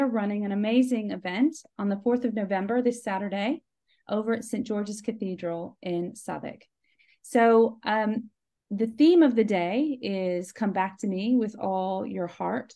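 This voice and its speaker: Against a quiet background, a woman speaks at a moderate pace and a fairly high pitch. Her tone is dark and mellow, with ordinary pitch variation. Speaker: charismatic renewal team member. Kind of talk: live stream interview host talk. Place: home room. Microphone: video call.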